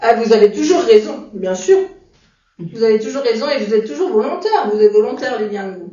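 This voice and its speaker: Her pitch fairly high, a woman speaks at a fairly quick pace with very wide pitch swings and big swings in loudness. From France, Sarthe. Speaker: adapted physical activity instructor. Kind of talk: interview.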